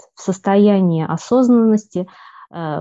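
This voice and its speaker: A woman speaks very slowly in a dark, mellow tone, with ordinary pitch variation. The background is quiet. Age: 40s. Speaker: medical worker and hypnosis student. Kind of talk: testimonial interview. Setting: remote call.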